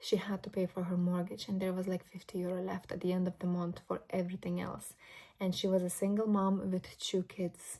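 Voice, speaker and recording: A woman with a Lithuanian accent speaks fairly quickly at a medium pitch, in a monotone with flat intonation. Her voice is somewhat breathy, with a dark, mellow tone. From Lithuania, moved to Ireland at twelve. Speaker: vlogger. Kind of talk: casual vlog monologue. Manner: reflective, conversational.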